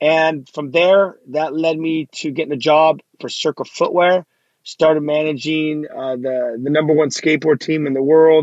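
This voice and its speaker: A man speaks with an American accent at a fairly slow pace. The sound is dry and close, with no echo. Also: fairly even intonation. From US West Coast, Los Angeles. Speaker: youth minister. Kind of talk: testimony; casual chat. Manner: casual, filler-heavy.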